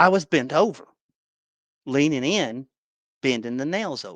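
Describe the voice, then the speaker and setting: A man with a Southern US accent speaks in a fairly high pitch, his intonation lively. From Tennessee, USA. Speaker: paintball player. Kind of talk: podcast guest storytelling.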